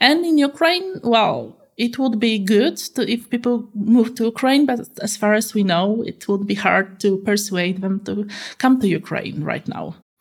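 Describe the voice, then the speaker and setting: With a Polish accent, a woman speaks at a fairly slow pace in a fairly high, somewhat breathy voice with lively intonation. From Poland. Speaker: political analyst. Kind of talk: interview. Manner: halting, many fillers.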